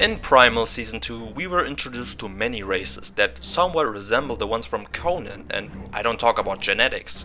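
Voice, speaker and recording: A man speaks at a fairly quick pace with a German accent. Noticeable background noise sits behind him. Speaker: YouTuber. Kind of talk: video essay. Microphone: poor mic quality.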